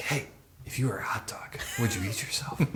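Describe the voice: Putting on a raspy character voice, a man speaks at medium pitch. His pace is fairly quick.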